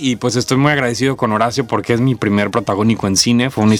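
A man talks at a very fast pace with medium pitch and ordinary pitch variation. Noticeable background noise sits behind him. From Mexico, Villahermosa, Tabasco. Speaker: actor. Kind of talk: interview.

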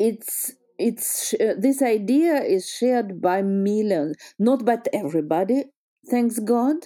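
A woman with a Russian accent, a dark, mellow tone, lively intonation and a fairly slow pace. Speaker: history teacher. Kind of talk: interview. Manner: halting.

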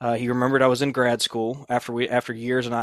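Here a man speaks fairly quickly with a Southern US accent and a medium pitch. The sound is dry and close with no echo, in a very clean recording with a silent background. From southeast Georgia. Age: 30s. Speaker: podcast host. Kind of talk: casual chat. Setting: on the road for intro.

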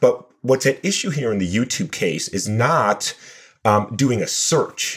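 At a fairly slow pace, a man talks with medium pitch, lively intonation and a somewhat breathy quality. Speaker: computer science professor. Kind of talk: expert interview discussion.

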